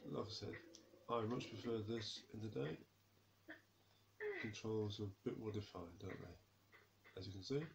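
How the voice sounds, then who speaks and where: A somewhat breathy voice with ordinary pitch variation moves at a fairly slow pace. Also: man, fairly low pitch for a man. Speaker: gaming video creator. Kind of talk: gameplay commentary. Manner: casual, rambling.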